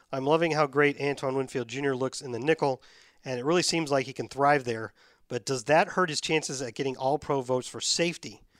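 In a very clean recording with a silent background and a dry, close sound with no echo, a man with a plain, everyday voice speaks at a fairly high pitch, a fairly quick pace and with fairly even intonation. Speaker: podcast host, football commentator. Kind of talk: casual chat about football. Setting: studio, nearly empty building. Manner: conversational, informal.

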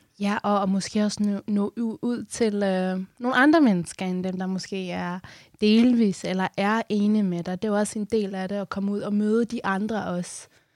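An ordinary speaking voice goes at a fairly slow pace with hardly any pauses and fairly even intonation, in a very clean recording with a silent background and a dry, close sound with no echo. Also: woman, medium pitch for a woman. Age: 20s. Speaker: radio host. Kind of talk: interview. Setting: studio.

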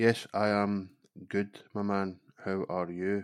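In a put-on, robotic character voice, a man speaks at a fairly slow pace with a fairly low pitch and monotone, flat intonation. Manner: flat, robotic monotone.

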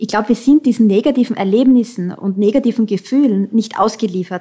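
Speaking with an Austrian accent, a woman has a fairly high, somewhat breathy voice with ordinary pitch variation. Her pace is fairly quick. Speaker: founder of an online counselling platform. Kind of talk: interview.

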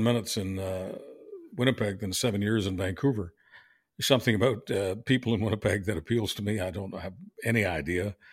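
Here a man talks very fast with a Canadian accent. His pitch is fairly low. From Canada, Montreal. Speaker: veteran talk radio host and podcaster. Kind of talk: interview. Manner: hesitant with many fillers.

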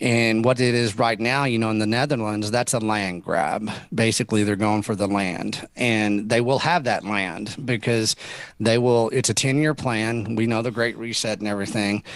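A man talks in a Texan accent at a medium pitch. His pace is moderate and his intonation fairly even. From Texas. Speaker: rancher. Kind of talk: interview.

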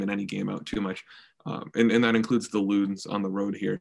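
A man at a very fast pace. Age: young. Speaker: student journalist. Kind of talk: casual chat.

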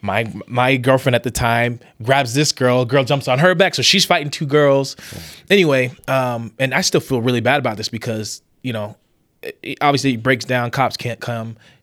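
On a very clean recording with a silent background, a man with an ordinary speaking voice and medium pitch speaks at a moderate pace with ordinary pitch variation. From Las Vegas, then Utah and Mesa, Arizona. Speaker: musician. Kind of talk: casual conversation.

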